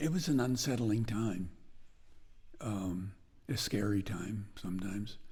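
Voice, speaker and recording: In audible room echo, a man with an American accent speaks fairly slowly in a dark, mellow, somewhat breathy tone, with ordinary pitch variation and long, frequent pauses. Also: fairly low pitch for a man. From northwestern Connecticut, US. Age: 80s+. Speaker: blacksmith. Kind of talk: interview.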